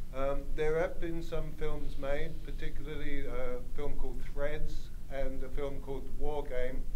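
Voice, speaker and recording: Speech at a fairly slow pace with hardly any pauses comes through noticeable background noise and audible room echo. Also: man. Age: 60s. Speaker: audience member. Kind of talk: Q&A question from audience. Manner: halting.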